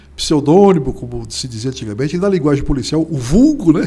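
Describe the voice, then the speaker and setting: A man speaks with ordinary pitch variation, a somewhat breathy quality and a dark, mellow tone. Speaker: journalist and writer. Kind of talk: interview.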